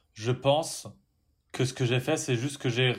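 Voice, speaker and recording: Speaking very slowly at a medium pitch, a man keeps his intonation fairly even in a very clean recording with a silent background. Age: 20s. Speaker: podcast co-host. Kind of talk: casual chat.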